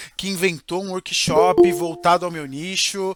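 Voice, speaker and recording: A man's high-pitched voice has a bright, sharp tone, recorded dry and close with no echo. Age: 20s. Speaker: marketing consultant and workshop presenter. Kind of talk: live online workshop. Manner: casual, conversational.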